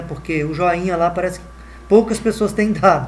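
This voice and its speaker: A man's high voice moves at a moderate speed, its pitch varying in an ordinary way, with noticeable noise in the background. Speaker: math teacher. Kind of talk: online lesson. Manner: halting, many fillers.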